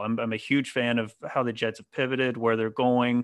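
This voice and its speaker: The speaker has an American accent and talks at a fairly quick pace in a monotone, flat intonation. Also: man. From North Carolina. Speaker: sports podcast host. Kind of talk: casual chat.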